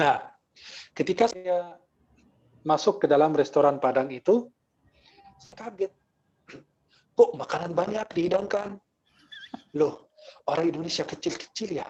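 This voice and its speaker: A man with an Arabic accent, animated in tone, at a moderate pace with ordinary pitch variation and long, frequent pauses. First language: Arabic (speaking Indonesian). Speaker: Islamic preacher. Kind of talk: religious lecture with humorous banter.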